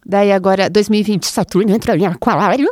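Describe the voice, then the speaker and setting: A woman with a normal speaking voice, medium in pitch, with fairly even intonation and a dry, close sound with no echo. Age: 30s. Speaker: astrologer and podcast host. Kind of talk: casual chat.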